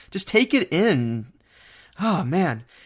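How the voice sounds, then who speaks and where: In a very clean recording with a silent background, a man's voice shows vocal fry and very wide pitch swings. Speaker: theme park news writer. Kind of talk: casual podcast chat.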